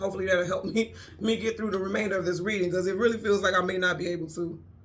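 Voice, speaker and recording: A woman at a medium pitch speaks at a very fast pace with monotone, flat intonation. The recording carries audible room echo and noticeable background noise. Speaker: tarot reader. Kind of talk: tarot reading. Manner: casual, conversational.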